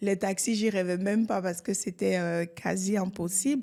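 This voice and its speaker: A woman with a dark, mellow tone and medium pitch speaks at a fairly slow pace with ordinary pitch variation on a very clean recording with a silent background. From Côte d'Ivoire. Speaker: real estate entrepreneur. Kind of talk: podcast interview.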